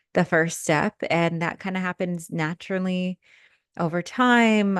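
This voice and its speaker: A woman speaks in a normal speaking voice with a fairly low pitch. The sound is dry and close with no echo, over a quiet background. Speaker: podcast host and spiritual coach. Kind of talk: casual personal storytelling monologue. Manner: filler-heavy casual speech.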